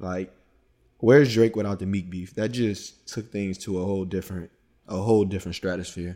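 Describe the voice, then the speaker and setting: Fairly low in pitch with a dark, mellow tone, a man speaks at a fairly quick pace with fairly even intonation on a very clean recording with a silent background. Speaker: podcast host talking about music. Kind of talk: casual podcast chat about music.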